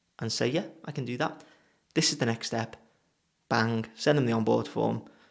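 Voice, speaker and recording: A man with a Liverpool accent speaks at a moderate pace and a medium pitch. His voice shows vocal fry and ordinary pitch variation. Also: long, frequent pauses. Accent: Liverpool (Scouse). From England, Liverpool. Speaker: web designer and business coach. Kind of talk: casual talking-head advice video. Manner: casual, chatty.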